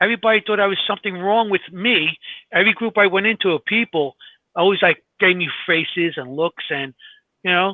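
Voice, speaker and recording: Here a man talks with a New York accent at a fairly quick pace. His pitch is high, and it varies in an ordinary way. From New York (Glendale, Queens). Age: 60s. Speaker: paranormal investigator and podcast co-host. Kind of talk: casual chat. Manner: halting.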